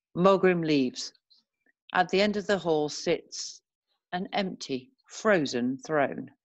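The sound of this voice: Her intonation lively, a woman talks at a slow pace. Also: fairly low pitch for a woman.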